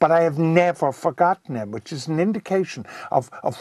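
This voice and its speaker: In a Cork accent, a man talks at a fairly quick pace with a fairly high pitch and ordinary pitch variation. The sound is dry and close with no echo, over a quiet background. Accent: Cork Irish. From Cork, Ireland. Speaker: broadcaster and rugby commentator. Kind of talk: interview answer.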